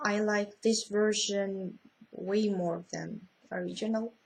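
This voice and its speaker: A woman's voice, somewhat breathy. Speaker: vlogger. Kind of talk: casual vlog, reading a list. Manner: halting, many fillers.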